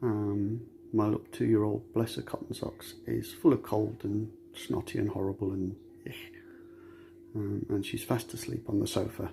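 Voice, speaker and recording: Soft-spoken, a man talks at a moderate pace with long, frequent pauses. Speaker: metal detectorist sharing mental health story. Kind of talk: personal testimony. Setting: home recording, child asleep on sofa.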